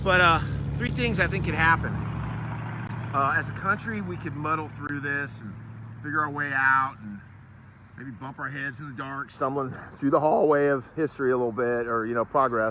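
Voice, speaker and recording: A man's medium-pitched voice at a moderate pace, with ordinary pitch variation, big swings in loudness, long, frequent pauses, and noticeable background noise. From Florida, US South. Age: 50s. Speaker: travel vlogger. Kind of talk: casual monologue to camera. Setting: outdoors at a battlefield park. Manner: halting, with many fillers.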